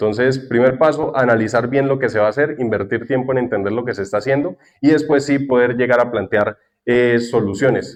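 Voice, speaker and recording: Speaking with a Santander Colombian accent, a man moves at a fairly quick pace with medium pitch and fairly even intonation. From Colombia, Santander. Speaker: cloud architect and tech content creator. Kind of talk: conference talk.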